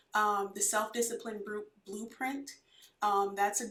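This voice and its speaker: A woman speaks softly at medium pitch. Her pace is moderate. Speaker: chiropractor, guest. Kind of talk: casual interview chat. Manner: soft-spoken.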